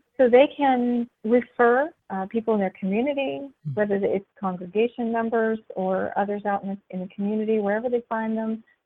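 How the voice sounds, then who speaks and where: A woman with an American accent talks at a moderate pace in a fairly high voice with ordinary pitch variation, a plain, everyday voice. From US, small town. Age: 40s. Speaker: business founder. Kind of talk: interview.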